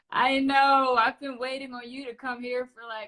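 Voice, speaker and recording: Her voice is high and carries a Dutch accent. This woman speaks at a fairly slow pace. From Netherlands, Amsterdam. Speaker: podcast host. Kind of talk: casual interview. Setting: Instagram live video call.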